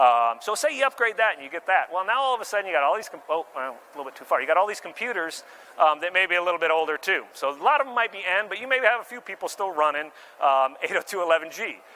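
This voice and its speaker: Over noticeable background noise, a man speaks at a very fast pace in a high pitch, making very wide pitch swings. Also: big swings in loudness. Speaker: marketing director presenting at tech expo. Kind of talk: conference presentation.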